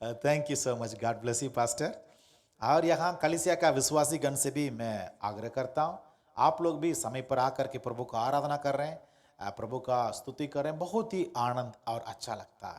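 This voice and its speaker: In a Tamil accent, a man with a fairly high pitch and ordinary pitch variation speaks at a moderate pace. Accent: Tamil-accented Hindi. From Tamil Nadu, Madurai district. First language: Tamil (speaking Hindi). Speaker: pastor. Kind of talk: sermon. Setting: church. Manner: halting.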